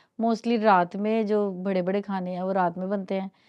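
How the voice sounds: A woman's medium-pitched, slightly mellow voice with fairly even intonation at a moderate pace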